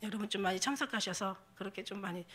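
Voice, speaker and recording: At a very fast pace, a woman talks with a bright, sharp tone at a medium pitch. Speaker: pastor. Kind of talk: sermon. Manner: halting, many fillers.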